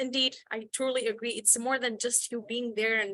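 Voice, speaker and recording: A woman with a non-native accent speaks at a moderate pace in a bright, sharp tone, her intonation flat and monotone. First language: not English. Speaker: youth activist. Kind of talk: panel discussion. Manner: halting, many repeated words.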